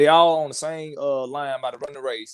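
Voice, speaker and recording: A man with a Mississippi accent speaks at a fairly high pitch. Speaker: caller. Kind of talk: casual call-in chat.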